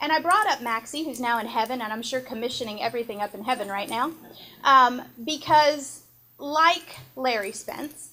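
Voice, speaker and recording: At a moderate pace, a woman with an American accent speaks in a high, bright, sharp voice, with ordinary pitch variation and big swings in loudness. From East Texas. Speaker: former TV reporter, border patrol representative. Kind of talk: speech at a tribute event.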